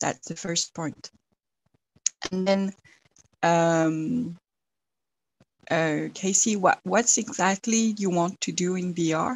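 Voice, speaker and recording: A woman with a French accent, medium pitch, ordinary pitch variation and a very slow pace. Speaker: TV broadcaster representative. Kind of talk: Q&A question at pitching session. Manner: halting, many fillers.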